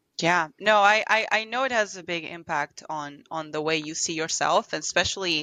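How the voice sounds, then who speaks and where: A woman with a slight Argentine accent, fairly low in pitch, at a moderate pace with hardly any pauses and ordinary pitch variation. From Argentina. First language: Spanish. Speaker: translator. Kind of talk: podcast interview. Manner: halting, many repetitions and fillers.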